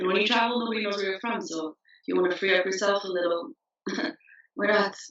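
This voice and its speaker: Speaking very fast, this woman's voice sits at a medium pitch and rises and falls in an ordinary way. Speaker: travel company founder. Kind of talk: casual chat.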